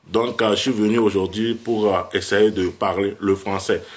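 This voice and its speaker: Speaking fairly slowly, a man uses a medium pitch. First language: West African language (Fon/Ewe area) (speaking French). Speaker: vodou priest. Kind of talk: livestream talk. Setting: live video stream. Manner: halting.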